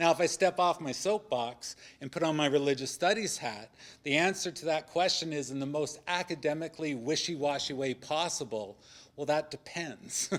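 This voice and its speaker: A man speaks at a fairly high pitch and a moderate pace, with ordinary pitch variation. The recording is very clean, with a silent background. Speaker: religious studies scholar on a debate panel. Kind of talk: panel discussion talk. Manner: loud.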